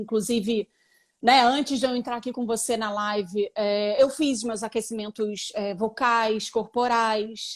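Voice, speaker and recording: A woman with a plain, everyday voice speaks at a fairly slow pace and fairly high pitch, with ordinary pitch variation on a very clean recording with a silent background. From Brazil. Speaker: actress and photographer. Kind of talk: live interview.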